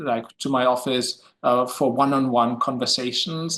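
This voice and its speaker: Speaking with a German accent, this man talks. His pace is fairly slow. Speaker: history professor. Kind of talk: academic discussion. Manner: halting, many fillers.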